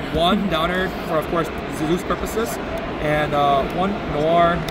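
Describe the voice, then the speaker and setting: Loud background noise fills the clip. Over it, a man talks. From US, Georgia. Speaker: competitive card game player. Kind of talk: casual interview about his card deck. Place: hall. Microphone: phone near.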